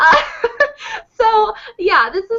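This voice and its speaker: A woman speaks in an animated tone. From Oklahoma, US. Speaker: singer and online video host. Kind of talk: casual chat. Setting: video call.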